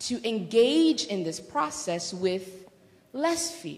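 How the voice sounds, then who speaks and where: A woman speaks at a very slow pace with vocal fry, her pitch swinging very widely. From Democratic Republic of Congo. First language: not English (English is her fourth language). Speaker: doctoral student and workshop presenter. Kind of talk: lecture.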